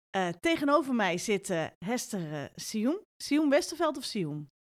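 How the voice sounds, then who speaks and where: The voice moves through very wide pitch swings at a very slow pace. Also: woman. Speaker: podcast interviewer. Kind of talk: casual interview.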